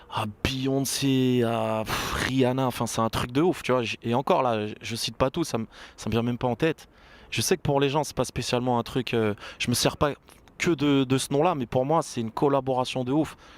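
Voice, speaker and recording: Medium-pitched male speech at a moderate pace, fairly even in intonation, with a dry, close sound and no echo. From Burgundy, France. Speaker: rapper. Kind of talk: interview. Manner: casual, hesitant fillers.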